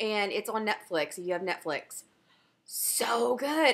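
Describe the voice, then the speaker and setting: Bright and sharp in tone, the voice moves at a fairly slow pace with lively intonation on a very clean recording with a silent background. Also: woman. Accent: Southern US. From US South. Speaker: knitting podcaster. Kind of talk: casual chat.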